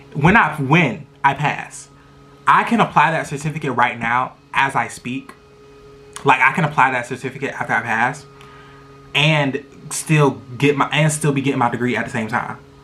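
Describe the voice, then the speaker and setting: Fairly high pitch from a man with an animated tone, moderate pace and long, frequent pauses, over noticeable background noise. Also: ordinary pitch variation. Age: 20s. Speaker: vlogger. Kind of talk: casual chat. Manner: loud.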